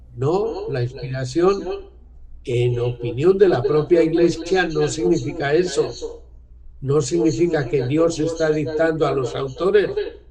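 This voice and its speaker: Audible room echo surrounds a man whose pitch is fairly high, with ordinary pitch variation. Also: fairly slow pace. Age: 70s. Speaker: author on church renewal. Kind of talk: talk to discussion group.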